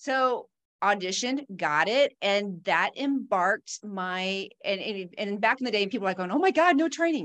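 A normal speaking voice from a woman, lively in intonation, at a moderate pace. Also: medium pitch for a woman. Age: 50s. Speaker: pharmacist and fitness instructor. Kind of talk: casual interview chat.

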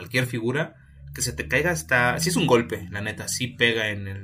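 This man has a Mexican accent and a bright, sharp tone at medium pitch. His intonation is lively and his pace moderate. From Mexico, Oaxaca. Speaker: podcast co-host. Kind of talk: casual chat.

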